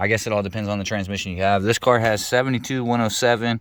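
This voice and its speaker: A man races along at a very fast pace, pitch varying in an ordinary way, with noticeable background noise behind him. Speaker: DIY car repair youtuber. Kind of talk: casual tutorial. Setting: outdoors in driveway.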